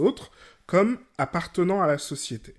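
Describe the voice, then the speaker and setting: This man has an unremarkable speaking voice with lively intonation and a fairly slow pace. The recording is very clean, with a silent background. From Guadeloupe, rural. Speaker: podcast host. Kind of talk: educational podcast monologue.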